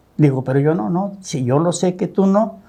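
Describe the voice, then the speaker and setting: This man's dark, mellow voice sits fairly high in pitch, with ordinary pitch variation and a moderate pace. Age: 70s. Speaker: businessman, host's father. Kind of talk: interview storytelling.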